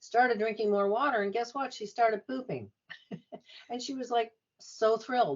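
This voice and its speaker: A woman speaks at a fairly high pitch with ordinary pitch variation, leaving long, frequent pauses. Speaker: nurse practitioner and health coach. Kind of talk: podcast interview. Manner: fast.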